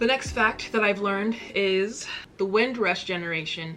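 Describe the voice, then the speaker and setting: There is noticeable background noise as a woman with an American accent speaks at medium pitch with ordinary pitch variation. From United States. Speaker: YouTube reaction creator. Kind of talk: casual talk to camera.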